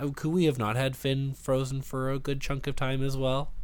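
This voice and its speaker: A man with a Canadian accent has a normal speaking voice at a fairly high pitch, with ordinary pitch variation. He talks at a fairly quick pace on a very clean recording with a silent background. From Canada. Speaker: podcaster, film discussion guest. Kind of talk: casual chat.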